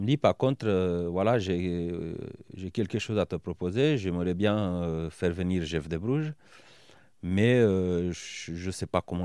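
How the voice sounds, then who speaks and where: A dark, mellow tone carries a Romanian accent with ordinary pitch variation. The delivery is very slow. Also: man, very clean recording, silent background. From Romania, Bucharest. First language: Romanian (speaking French). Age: 30s. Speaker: business owner and former rugby player. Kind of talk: interview. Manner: hesitant, many fillers.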